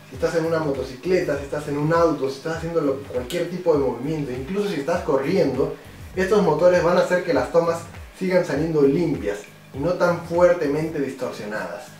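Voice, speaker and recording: Fairly quick speech with ordinary pitch variation, audible room echo and faint music in the background. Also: man. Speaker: product reviewer. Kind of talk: tutorial. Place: home room.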